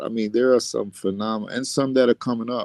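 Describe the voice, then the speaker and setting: Recorded dry and close with no echo, a man with an American accent speaks in a dark, mellow tone with monotone, flat intonation. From Bronx, New York. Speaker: R&B singer and actor. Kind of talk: interview answer.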